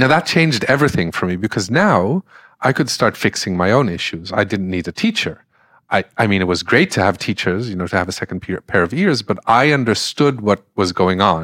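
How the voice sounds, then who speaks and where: In an ordinary speaking voice, a man with a fairly low pitch talks at a fairly quick pace with lively intonation, the recording very clean with a silent background and a dry, close sound with no echo. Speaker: deep democracy facilitator. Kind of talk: interview conversation.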